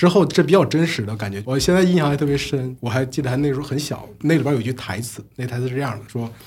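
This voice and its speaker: Speaking at a very fast pace, a man with a medium pitch sounds somewhat breathy and shows ordinary pitch variation. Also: hardly any pauses. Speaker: podcast host. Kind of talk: casual chat. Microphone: new recording equipment.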